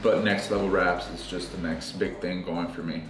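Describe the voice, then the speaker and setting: Clear music plays behind a man talking at a moderate pace. His voice carries audible room echo. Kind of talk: interview answer. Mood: reflective, a bit stressed. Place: office.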